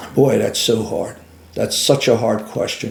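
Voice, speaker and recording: A man talks with a Philadelphia accent. Audible room echo surrounds his voice. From US Northeast, Philadelphia. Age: 70s. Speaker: retired carpenter and military veteran. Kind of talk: interview. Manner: halting, with frequent fillers.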